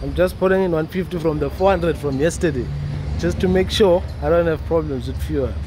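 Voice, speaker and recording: Music plays in the background as a man talks at a moderate pace. The sound is dry, with no echo. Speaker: car vlogger. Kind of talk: casual vlog chat. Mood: upbeat, excited. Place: street. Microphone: phone near.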